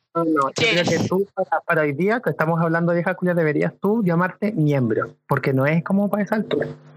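A man's high voice at a moderate pace with hardly any pauses and very even loudness, dry and close with no echo, over music in the background. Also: ordinary pitch variation. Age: 20s. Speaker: podcast panelist. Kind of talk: casual chat.

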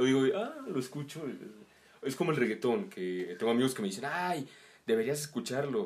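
Pitched at a medium level, a man talks at a moderate pace with very wide pitch swings. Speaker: musician. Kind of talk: casual chat.

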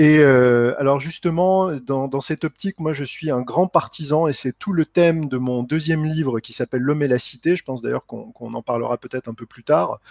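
A man with an unremarkable speaking voice talks at a moderate pace with hardly any pauses, a fairly high pitch, ordinary pitch variation and big swings in loudness, in a dry, close sound with no echo. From France, Lorraine (Lunéville). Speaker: entrepreneur and author. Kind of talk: interview.

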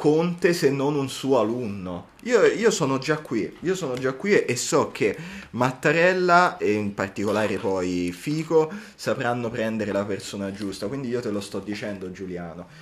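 Using an animated tone, a man of medium pitch speaks at a moderate pace with very wide pitch swings. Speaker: university student podcast co-host. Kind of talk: casual chat.

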